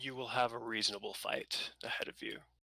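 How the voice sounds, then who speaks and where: Putting on a raspy character voice, a man talks at a fairly quick pace. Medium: actual play. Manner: solemn, terse.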